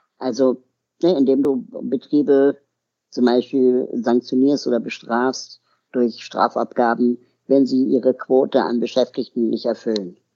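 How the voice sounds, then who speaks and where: A man's dark, mellow voice at medium pitch, delivered at a fairly slow pace. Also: ordinary pitch variation. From Berlin, Germany. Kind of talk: interview.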